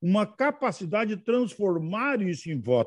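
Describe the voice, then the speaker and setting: Against a quiet background, a man speaks slowly enough to be fairly slow in pace, high in pitch, with very wide pitch swings. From Rio Grande do Sul north coast, Brazil. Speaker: federal politician. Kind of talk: interview answers.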